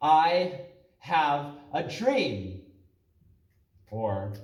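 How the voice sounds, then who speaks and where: A somewhat breathy man with an American accent and very wide pitch swings. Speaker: spoken word poet. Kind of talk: spoken word poetry performance.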